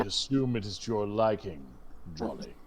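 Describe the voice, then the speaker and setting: A man's put-on character voice against clear background noise. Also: fairly low pitch for a man, moderate pace. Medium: actual play. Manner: languid, refined, condescending.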